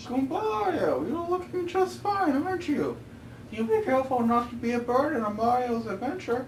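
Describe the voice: A put-on character voice, female-sounding and high-pitched, at a moderate pace over clear background noise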